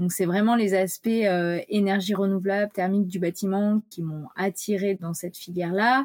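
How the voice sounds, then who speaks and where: A woman at medium pitch, moderate pace and fairly even intonation, with hardly any pauses. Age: 30s. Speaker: engineer and company director. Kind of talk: interview. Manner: halting.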